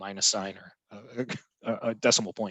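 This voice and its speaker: The voice holds fairly even intonation, the sound dry and close with no echo over a quiet background. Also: man. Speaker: library digitization supervisor. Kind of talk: conference presentation Q&A. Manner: fast.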